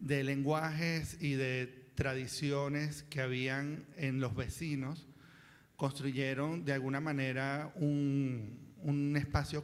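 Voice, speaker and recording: A man with a fairly high pitch speaks with fairly even intonation. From Venezuela, Caracas. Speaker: writer, panel speaker. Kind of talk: panel talk. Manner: halting, many fillers.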